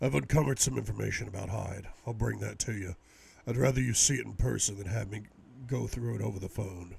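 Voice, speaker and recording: The speaker puts on a raspy, gruff character voice. It moves at a very fast pace with lively intonation. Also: man, fairly low pitch for a man. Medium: read story. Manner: clipped, businesslike.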